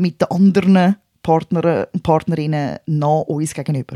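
In a Swiss accent, a woman speaks at a fairly slow pace with a fairly low pitch. Her tone is dark and mellow, and her intonation stays fairly even. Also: dry, close sound with no echo. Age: 40s. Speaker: podcast co-host. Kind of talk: casual chat.

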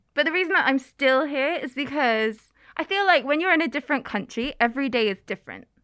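On a very clean recording with a silent background, a woman with an East Midlands accent speaks at a very fast pace. Her high voice is bright and sharp, with lively intonation and an animated tone. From England, Oakham (Rutland). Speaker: YouTuber and former English teacher. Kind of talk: casual chat.

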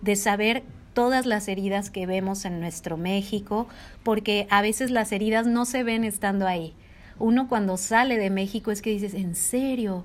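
An unremarkable speaking voice from a woman at medium pitch, with fairly even intonation and a moderate pace on a very clean recording over a silent background. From Mexico, Jalisco. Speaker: podcast co-host. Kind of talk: casual chat.

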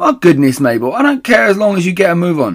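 Putting on a character voice, a man speaks at a high pitch and a fairly quick pace, with big pitch swings.

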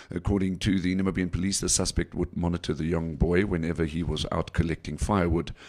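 This man's voice is very deep and low, with fairly even intonation. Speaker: radio host and news reader. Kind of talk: casual radio chat and news reading.

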